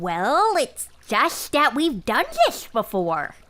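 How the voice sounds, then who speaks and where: A woman puts on a character voice, fairly high-pitched, speaking very slowly with very wide swings in pitch. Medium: audio drama. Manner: frustrated.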